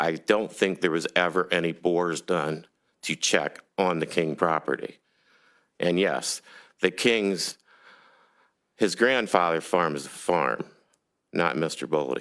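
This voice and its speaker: Very deep, low male voice with vocal fry, ordinary pitch variation and long, frequent pauses, on a very clean recording with a silent background. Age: 60s. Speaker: resident making public comment. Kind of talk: public comment at council meeting. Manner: halting.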